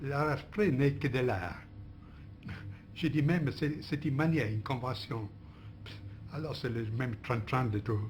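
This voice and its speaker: Music plays behind a man with a medium-pitched voice who speaks fairly slowly with ordinary pitch variation and long, frequent pauses. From Italy. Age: old. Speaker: philosopher, interviewee. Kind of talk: interview answer. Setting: archive recording.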